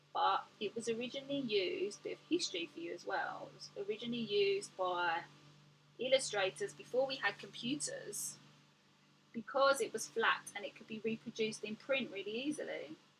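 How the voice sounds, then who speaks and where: Music plays behind a woman speaking at a fairly quick pace in a fairly high voice with a slight cockney accent. Her pitch swings very widely and her loudness varies a lot. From England. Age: 40s. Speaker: artist and art teacher. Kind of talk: livestream chat while painting. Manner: animated.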